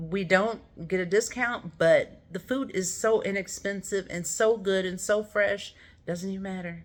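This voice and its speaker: This woman has a normal speaking voice. Her pitch is medium, with ordinary variation. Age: 60s. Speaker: vlogger, seasonal worker. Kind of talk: casual vlog monologue.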